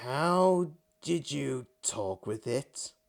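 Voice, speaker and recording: A man puts on a gruff character voice at a medium pitch. He cackles as he talks. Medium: read story. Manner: gruff, cackling.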